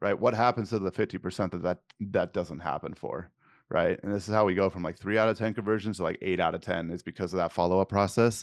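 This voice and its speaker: A man talks with an American accent in a very deep, low pitch that varies in an ordinary way. The sound is dry and close with no echo, over a quiet background. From California. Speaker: digital marketing agency owner. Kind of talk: podcast interview. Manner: blunt.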